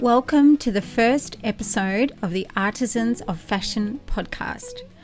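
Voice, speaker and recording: A woman speaks at a fairly high pitch with ordinary pitch variation. Music plays in the background. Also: fairly slow pace. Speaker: podcast host. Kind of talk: podcast introduction.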